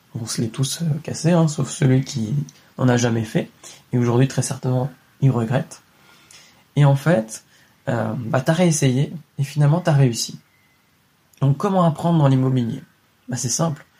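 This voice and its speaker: A man talks at a fairly slow pace with long, frequent pauses. His voice is somewhat breathy, with a dark, mellow tone. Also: medium pitch for a man, ordinary pitch variation. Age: 20s. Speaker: real estate investing podcaster. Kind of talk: solo motivational monologue. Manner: casual, direct with filler words.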